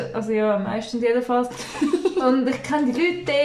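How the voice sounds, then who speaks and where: A woman with a high pitch, plus noticeable background noise and audible room echo. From Switzerland, village near Baden, Aargau. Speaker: podcast co-host. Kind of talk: casual chat.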